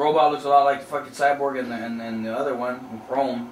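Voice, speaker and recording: A man talks while the room echoes audibly and noticeable background noise runs underneath. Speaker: gaming youtuber. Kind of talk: gameplay tutorial. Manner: casual, hesitant with fillers.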